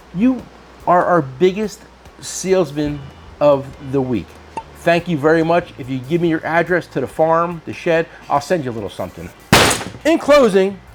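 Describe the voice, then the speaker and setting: A man speaks at a high pitch and moderate pace in an animated tone, with long, frequent pauses. Noticeable background noise is present. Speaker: tool shop owner and video host. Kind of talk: casual chat.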